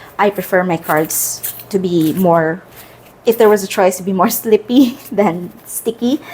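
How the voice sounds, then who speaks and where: A woman with a Filipino accent, medium in pitch, with ordinary pitch variation and a fairly slow pace, against noticeable background noise. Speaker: tarot content creator. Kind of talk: casual product review. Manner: casual, hesitant with fillers.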